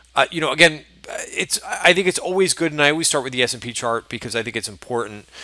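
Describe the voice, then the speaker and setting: Lively intonation carries a bright, sharp tone. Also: man. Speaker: stock trader giving market recap. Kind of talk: market recap video. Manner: fast; casual, with many fillers.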